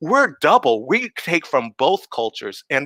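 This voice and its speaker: Bright and sharp in tone, the voice moves at a moderate pace with very wide pitch swings, recorded dry and close with no echo. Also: man. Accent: American. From US West Coast and Army bases, partly Japan. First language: Japanese. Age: 60s. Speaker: composer and activist. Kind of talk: panel conversation. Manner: halting with many fillers.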